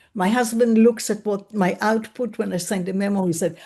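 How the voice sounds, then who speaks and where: Speaking at a moderate pace with a non-native accent, a woman uses a fairly high pitch, lively intonation and a dark, mellow tone. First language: not English. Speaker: webinar attendee. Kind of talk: audience question.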